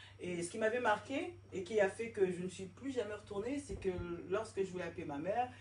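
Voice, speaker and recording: The voice has vocal fry and big swings in loudness, at a moderate pace. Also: woman, medium pitch for a woman, ordinary pitch variation. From Paris suburbs, France. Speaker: interviewee. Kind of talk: interview. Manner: animated.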